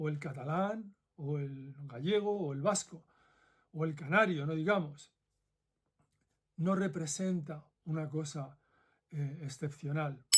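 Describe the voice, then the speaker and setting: At a very slow pace with long, frequent pauses, a man speaks in a fairly high pitch. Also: ordinary pitch variation. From central Spain (Madrid). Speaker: former ethics professor, video essayist. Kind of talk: commentary monologue.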